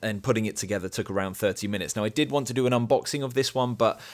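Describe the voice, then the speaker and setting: Very rapid speech comes from a man whose pitch rises and falls in a normal way. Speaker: tech reviewer YouTuber. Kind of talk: product review. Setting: home office. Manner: hesitant, many fillers.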